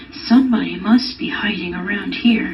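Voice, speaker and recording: Over clear background noise, a woman uses a put-on character voice that is raspy and fairly high in pitch. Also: moderate pace. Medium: read story.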